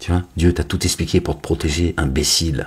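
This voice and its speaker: A man talks with monotone, flat intonation. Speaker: religious commentator. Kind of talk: online religious monologue. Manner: loud.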